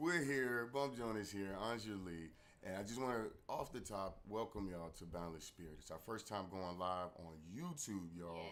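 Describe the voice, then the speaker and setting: Here a man speaks at a moderate pace, his pitch fairly low with ordinary variation. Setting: live stream.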